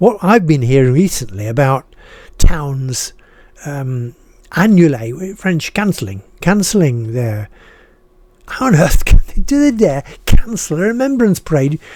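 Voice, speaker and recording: A man with a northern English accent speaks at a fairly high pitch and a fairly slow pace. His pitch swings very widely, with long, frequent pauses. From northern England (Harrogate, Yorkshire; schooled in Boston, Lincolnshire). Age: 80s+. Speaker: retired writer and video blogger. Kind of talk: casual monologue, personal reflection. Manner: halting, with repetitions; passionate.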